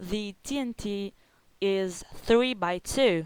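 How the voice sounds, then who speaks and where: A woman's medium-pitched voice with an Italian accent and ordinary pitch variation, on a very clean recording with a silent background. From Italy. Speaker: gaming video creator. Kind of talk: gameplay commentary. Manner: halting.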